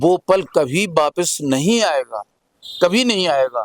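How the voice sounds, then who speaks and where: With lively intonation, a man speaks at a high pitch in a dry, close sound with no echo. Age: 70s. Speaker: environmental activist and doctor. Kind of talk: interview.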